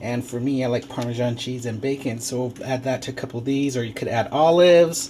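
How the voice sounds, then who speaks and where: A man with a medium pitch talks at a fairly quick pace. Noticeable background noise runs underneath. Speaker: home cooking show host. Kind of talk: cooking tutorial. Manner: hesitant, many fillers; casual.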